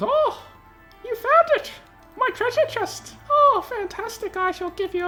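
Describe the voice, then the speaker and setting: A put-on character voice at an extremely high pitch plays over clear music in the background. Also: fairly slow pace. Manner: gleeful, excited.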